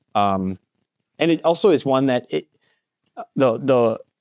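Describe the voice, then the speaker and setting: A man with an American accent and a plain, everyday voice speaks at a moderate pace and medium pitch. His intonation is lively, and the sound is dry and close with no echo. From US Midwest (northern Minnesota). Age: 30s. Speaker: roofing company owner. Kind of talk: podcast interview. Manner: casual, many fillers.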